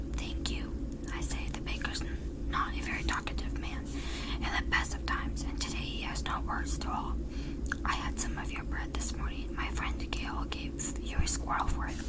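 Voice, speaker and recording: Soft-spoken and whispering, the speaker moves at a moderate pace over noticeable background noise. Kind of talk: whispered audiobook-style reading of a novel chapter. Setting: close-up microphone. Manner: whispered, soft.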